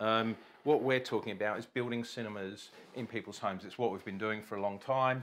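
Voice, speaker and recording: A fairly low-pitched man with monotone, flat intonation. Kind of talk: casual product presentation chat. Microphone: lapel.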